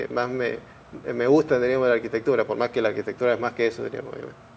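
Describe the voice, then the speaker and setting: A man's voice over noticeable background noise. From San Rafael, Mendoza, Argentina. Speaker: architect and university teaching assistant. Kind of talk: interview. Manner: halting, repeated words.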